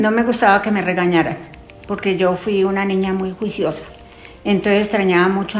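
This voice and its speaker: A woman speaks with monotone, flat intonation. The recording carries audible room echo and noticeable background noise. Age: 70s. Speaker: elderly interviewee. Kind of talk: interview.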